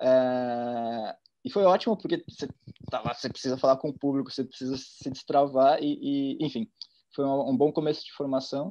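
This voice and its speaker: A man's dark, mellow tone carries ordinary pitch variation over a quiet background. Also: fairly high pitch for a man, moderate pace. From interior of São Paulo state, Brazil (Ribeirão Preto); São Paulo state, Brazil. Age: 30s. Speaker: art curator; interviewee. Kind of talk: casual interview. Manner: halting, with fillers. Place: home room. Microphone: video call.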